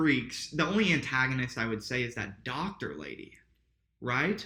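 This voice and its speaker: With an American accent, a man speaks at medium pitch in a bright, sharp tone with vocal fry and lively intonation. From Indiana, small town. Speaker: podcast co-host. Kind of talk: casual chat. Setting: apartment home recording.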